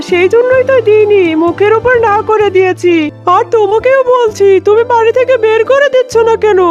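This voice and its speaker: Over clear music in the background, a woman uses a cartoonish character voice pitched extremely high, speaking at a moderate pace. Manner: brash, bossy.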